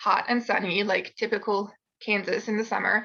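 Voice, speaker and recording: A woman speaks fairly quickly with a French accent, her fairly high pitch carrying a bright, sharp tone. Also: quiet background. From France. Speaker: university student. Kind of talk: presentation. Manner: casual storytelling.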